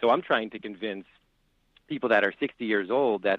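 A man talks in a plain, everyday voice with a fairly low pitch. His pitch variation is ordinary. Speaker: financial advisor. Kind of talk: interview.

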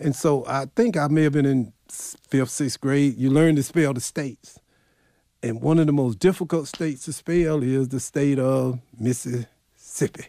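A man with a Southern US accent, fairly high pitch, a dark, mellow tone, ordinary pitch variation and a fairly slow pace. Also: dry, close sound with no echo. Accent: Southern US (Georgia). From US South, rural Clarke County, Georgia. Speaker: county executive and historian. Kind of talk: interview.

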